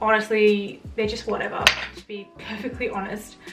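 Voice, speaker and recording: A woman with a fairly high pitch speaks in an Australian accent while music plays in the background. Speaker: beauty vlogger. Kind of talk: casual product review monologue. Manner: fast.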